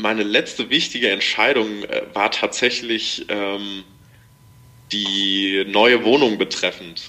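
Pausing long and often, a man speaks at a very slow pace with fairly even intonation. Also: fairly low pitch for a man. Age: 20s. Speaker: amateur racing cyclist. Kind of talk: casual interview. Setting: remote call.

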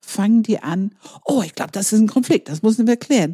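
A woman with a non-native accent and a dark, mellow tone, in a dry, close sound with no echo. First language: not German (speaking German). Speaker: enneagram coach and trainer. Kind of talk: podcast conversation.

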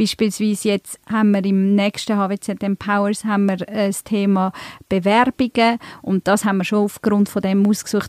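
A dry, close sound with no echo on a very clean recording with a silent background. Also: woman. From Switzerland, Emmental (Bern), born in Turkey. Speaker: events manager, podcast co-host. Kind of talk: casual chat. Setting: studio.

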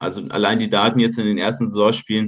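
A man with a normal speaking voice talks at a fairly quick pace, his medium pitch held in fairly even intonation. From Munich, Bavaria. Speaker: football data analyst. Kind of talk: podcast interview.

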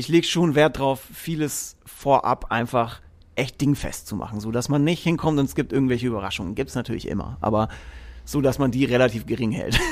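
The voice has vocal fry and moves at a fairly quick pace. The recording is very clean with a silent background. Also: man. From Franconia, Germany (Erlangen near Nuremberg). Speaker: musician and tour technician. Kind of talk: casual chat.

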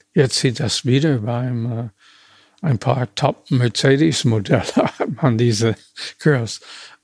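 Speaking with an American accent, a man talks at a very slow pace. His voice is somewhat breathy, with ordinary pitch variation. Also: medium pitch for a man, dry, close sound with no echo. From US, small town. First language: English (speaking German). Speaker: retired car designer. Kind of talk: interview. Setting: historic building among cars at carmaker's factory. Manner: halting.

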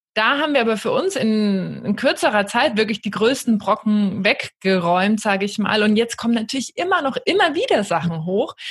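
A fairly high, somewhat breathy woman's voice with lively intonation at a moderate pace. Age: 30s. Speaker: life coach and podcaster. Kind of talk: casual chat.

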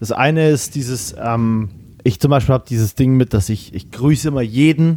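A man with a dark, mellow tone, medium pitch and ordinary pitch variation. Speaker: podcast host. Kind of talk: casual chat. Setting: remote, in his mother's office. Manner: fast, energetic.

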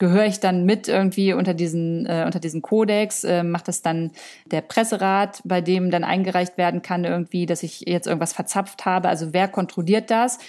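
This woman has a normal speaking voice, talking at a moderate pace with a medium pitch and fairly even intonation. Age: 30s. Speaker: influencer and content creator. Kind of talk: interview.

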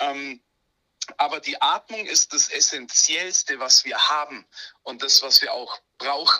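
Speaking very slowly, a man swings widely in loudness. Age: 30s. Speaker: breathwork coach. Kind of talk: interview. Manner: animated.

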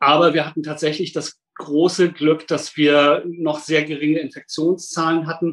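A man speaks in a flat monotone at a fairly high pitch for a man. His pace is fairly slow, with hardly any pauses. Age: 50s. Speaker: safety engineer at a hospital. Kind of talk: interview.

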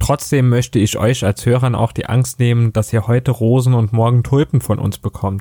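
A man with a dark, mellow tone and medium pitch speaks at a moderate pace, captured in a very clean recording with a silent background and a dry, close sound free of echo. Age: 20s. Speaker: podcast co-host, customer service worker. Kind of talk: scripted podcast intro.

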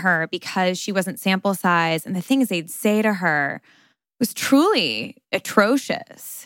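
Recorded very cleanly on a silent background, a woman with an American accent and a medium pitch speaks at a fairly slow pace in a bright, sharp tone. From New York. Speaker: podcast host. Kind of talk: casual chat; scripted narration.

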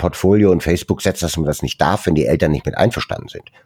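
A man speaks with a very deep, low pitch and a dark, mellow tone. There is vocal fry, and the sound is dry and close with no echo. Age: 60s. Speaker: founder of a volunteer photography charity. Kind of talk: interview. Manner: hesitant, many fillers.

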